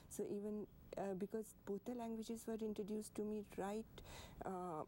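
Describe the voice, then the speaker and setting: A woman's fairly high pitch with an Indian accent, dark, mellow tone, monotone, flat intonation, very even loudness and moderate pace. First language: Hindi. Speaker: poet and artist. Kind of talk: TV interview. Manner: halting.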